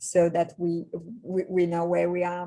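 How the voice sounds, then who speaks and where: A woman's fairly low voice, dark and mellow in tone, with a Polish accent. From Poland. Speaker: executive coach. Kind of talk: webinar presentation. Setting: video call.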